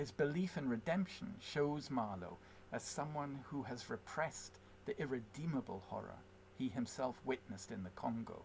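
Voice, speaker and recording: Lively intonation marks this man's somewhat breathy, medium-pitched voice in a Scottish accent. He speaks at a moderate pace. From Scotland, west. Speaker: poet. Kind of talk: poetry reading; spoken introduction.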